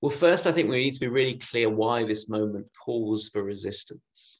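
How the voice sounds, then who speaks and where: At a moderate pace, a man uses a normal speaking voice with a medium pitch and ordinary pitch variation. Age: 30s. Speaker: minister. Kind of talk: lecture.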